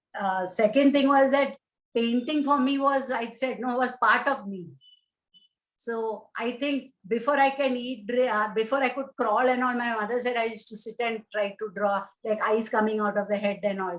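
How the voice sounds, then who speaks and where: With a Keralan accent, the speaker holds a moderate pace and fairly even intonation. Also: woman, fairly high pitch for a woman. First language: Malayalam. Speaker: painter and poet, retired civil servant. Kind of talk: interview. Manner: halting.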